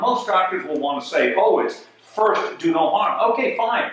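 A man talks at a moderate pace. His voice carries strong room echo. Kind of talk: interview answer. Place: home room.

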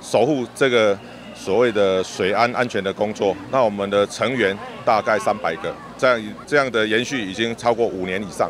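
Dry with no echo but with noticeable background noise, a man's fairly low voice carries fairly even intonation. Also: moderate pace. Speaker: water rescue volunteer leader. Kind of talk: interview. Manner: casual, many fillers.

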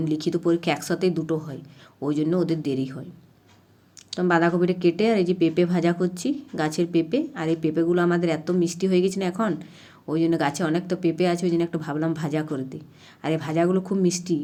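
Fairly low in pitch, a woman speaks in a dark, mellow tone with fairly even intonation. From Purulia district, West Bengal, India. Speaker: village housewife vlogger. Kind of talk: casual vlog narration.

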